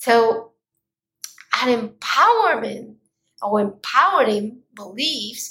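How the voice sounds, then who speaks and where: Speaking very slowly with a non-native accent, a woman has a fairly high pitch and a bright, sharp tone. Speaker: podcast host, mindfulness coach. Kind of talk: solo motivational talk. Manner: animated.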